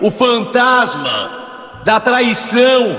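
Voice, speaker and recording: The tone is dramatic. Background noise is noticeable. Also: man. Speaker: police crime reporter. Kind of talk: radio crime story narration. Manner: dramatic, tense, repetitive.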